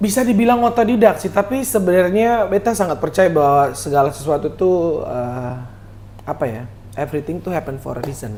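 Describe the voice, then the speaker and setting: Someone with a Kupang accent talks at a fairly quick pace with very wide pitch swings. Music plays in the background. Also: man, high pitch for a man. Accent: Kupang Malay-accented Indonesian. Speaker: singer, singing competition contestant. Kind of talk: podcast interview.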